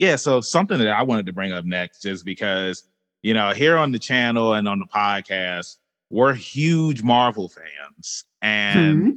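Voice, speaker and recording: A man with a normal speaking voice talks at a moderate pace, his fairly low pitch moving with lively intonation. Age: 30s. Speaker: podcast host. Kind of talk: interview.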